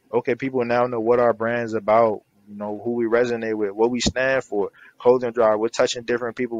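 A man with an American accent talks at a very fast pace in monotone, flat intonation. The sound is dry with no echo. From US Mid-Atlantic (Maryland). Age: 20s. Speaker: clothing brand founder and CEO; guest. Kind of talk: casual interview. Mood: earnest, motivational. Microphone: headset.

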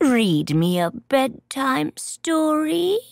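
A female-sounding voice does a put-on character voice, high-pitched and swinging very widely in pitch. The recording is very clean with a silent background. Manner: cooing, sweet and creepy.

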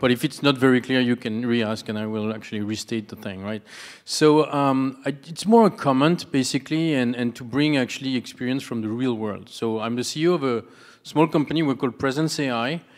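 Over a quiet background, a man speaks with a strong French accent. His pace is fairly quick and his pitch variation ordinary. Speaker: audience member, startup CEO; audience member. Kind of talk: audience Q&A comment. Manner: halting. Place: hall. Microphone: handheld.

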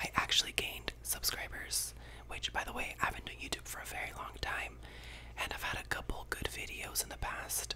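The man speaks in a whisper. His pace is fairly quick. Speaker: ASMR creator. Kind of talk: ASMR whispered ramble. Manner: whispered. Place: home room. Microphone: studio mic.

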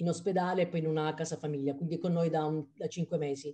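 A woman's fairly low, dark and mellow voice with fairly even intonation against a quiet background. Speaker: parent asking a question. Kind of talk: audience question. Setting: video call. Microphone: video call.

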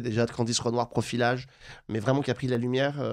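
A normal speaking voice comes from a man of medium pitch with fairly even intonation. The background is quiet. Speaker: TV show host; TV series show host. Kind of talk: interview. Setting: studio. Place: studio. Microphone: studio mic.

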